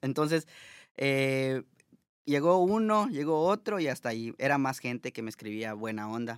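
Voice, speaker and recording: With a plain, everyday voice at medium pitch, a man speaks at a moderate pace with lively intonation, recorded very cleanly against a silent background in a dry, close sound with no echo. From Mexico, Mérida, Yucatán. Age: 30s. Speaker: social media content creator. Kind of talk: casual interview. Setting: studio.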